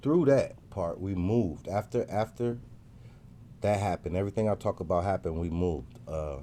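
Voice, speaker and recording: A man speaks with lively intonation at a fairly low pitch. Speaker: podcast host telling his life story. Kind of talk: personal storytelling monologue. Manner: fast; casual, hesitant with fillers.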